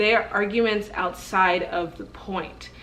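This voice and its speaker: Through audible room echo and noticeable background noise, a woman speaks in a medium pitch with a passionate tone, at a fairly slow pace and with fairly even intonation. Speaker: vlogger. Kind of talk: casual vlog monologue.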